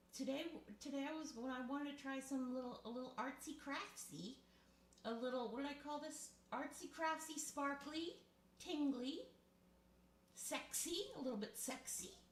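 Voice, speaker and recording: A woman's high voice at a moderate pace, with ordinary pitch variation, long, frequent pauses and audible room echo. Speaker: ASMR and live-stream creator. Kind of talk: casual live-stream show and tell. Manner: close to the mic.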